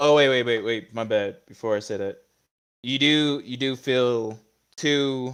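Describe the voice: Against a quiet background, plain reading aloud comes with ordinary pitch variation.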